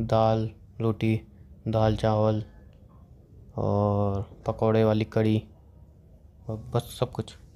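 A man with a fairly low pitch speaks in a dark, mellow tone. His intonation is monotone and flat, with long, frequent pauses. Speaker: content creator. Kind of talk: casual chat. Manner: soft-spoken.

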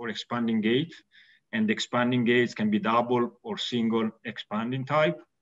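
A man with an Italian accent at a moderate pace, against a quiet background. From Italy. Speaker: valve company executive and mechanical engineer. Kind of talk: technical webinar presentation. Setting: video call. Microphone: webcam.

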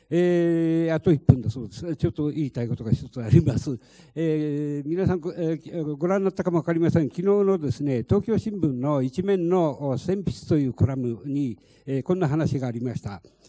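A man talks in a fairly high pitch. His tone is dark and mellow. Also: ordinary pitch variation, moderate pace. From Fukushima, Minamisoma; Fukushima. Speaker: lead plaintiff, evacuee; panelist. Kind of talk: panel discussion. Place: meeting room. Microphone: handheld.

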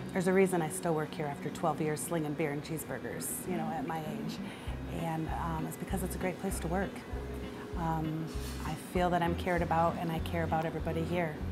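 A woman talks at a fairly quick pace while clear music plays behind her. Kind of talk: interview answer. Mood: warm, sincere. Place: bar. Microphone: lapel.

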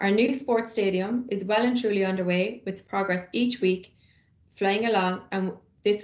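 Audible room echo surrounds a woman speaking at a moderate pace. Her intonation stays fairly even. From Ireland. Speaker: university sports officer. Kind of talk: scripted welcome announcement. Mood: upbeat, welcoming. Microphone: webcam.

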